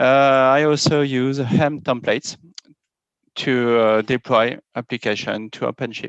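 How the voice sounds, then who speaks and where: Someone with a French accent speaks at a fairly slow pace, the sound dry and close with no echo against a quiet background. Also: man. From France. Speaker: software architect and developer. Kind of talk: conference talk. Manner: halting, many fillers.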